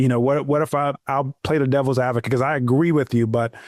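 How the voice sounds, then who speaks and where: A man speaks at a medium pitch with fairly even intonation. The sound is dry and close with no echo, in a very clean recording with a silent background. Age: 30s. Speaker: podcast host. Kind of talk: casual interview conversation. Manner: halting, many false starts.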